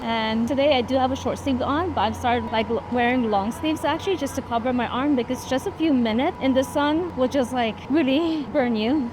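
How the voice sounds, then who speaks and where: Speaking in an American accent, a woman uses a high pitch with ordinary variation and very even loudness. She talks at a fairly quick pace with hardly any pauses, over noticeable background noise. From New York City, the Bronx. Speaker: travel vlogger. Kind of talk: casual chat. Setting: outdoors.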